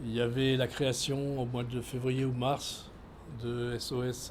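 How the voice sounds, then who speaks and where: Audible room echo surrounds a man's somewhat breathy voice. His pitch sits in the medium range. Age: 70s. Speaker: former pastor and migrant rights activist. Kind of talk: interview testimony. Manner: halting, many hesitations.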